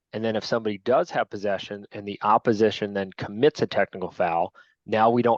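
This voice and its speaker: A man with a fairly low voice speaks at a fairly quick pace and with fairly even intonation, recorded dry and close with no echo against a quiet background. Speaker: lacrosse officials trainer. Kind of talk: training lecture. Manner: casual, conversational.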